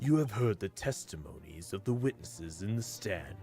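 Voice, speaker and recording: A man uses a put-on character voice at a fairly low pitch. He keeps a moderate pace. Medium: video game. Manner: stern, formal.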